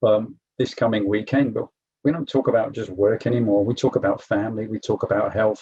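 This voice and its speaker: Speaking at a fairly quick pace, a man with an English accent has a medium-pitched, dark, mellow and somewhat breathy voice with fairly even intonation. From England. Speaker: program alumnus, corporate manager. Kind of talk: testimony at online info session.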